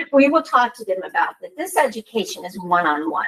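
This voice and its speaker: Quick-paced speech comes from a woman with an unremarkable speaking voice. Her intonation is lively. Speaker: nonprofit housing program presenter. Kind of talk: public meeting presentation. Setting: township board meeting.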